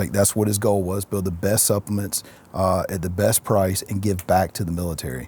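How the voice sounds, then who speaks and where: Fairly low and somewhat breathy, this man's voice has a dark, mellow tone. He moves at a fairly quick pace with fairly even intonation. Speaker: entrepreneur, CEO. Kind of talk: interview answer. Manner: soft-spoken.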